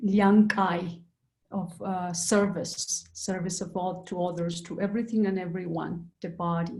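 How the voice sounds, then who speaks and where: A woman talks with an Andean accent. Her intonation stays monotone and flat. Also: medium pitch for a woman, fairly slow pace. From Peru. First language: Quechua. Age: young. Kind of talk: panel discussion. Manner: halting.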